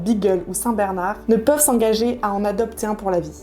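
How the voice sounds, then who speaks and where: A woman with a fairly high pitch and ordinary pitch variation speaks at a fairly quick pace amid noticeable background noise. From France, Bordeaux. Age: 20s. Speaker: dog café founder. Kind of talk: crowdfunding pitch.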